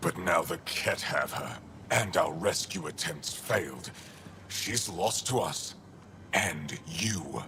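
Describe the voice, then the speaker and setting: A man's put-on character voice, very deep and low, fairly slow, with clear background noise. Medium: game stream.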